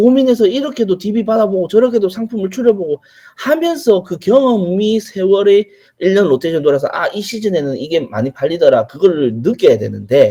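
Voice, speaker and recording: A man's dark, mellow voice moves at a fairly quick pace with a high pitch and very wide pitch swings. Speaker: online retail business instructor. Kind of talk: lecture with Q&A. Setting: online livestream lecture. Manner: conversational.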